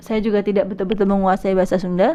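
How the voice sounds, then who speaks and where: A woman speaks while noticeable background noise is present. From Indonesia, Bekasi (West Java), Javanese family. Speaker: podcast host on language. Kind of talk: solo podcast talk. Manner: hesitant, many fillers.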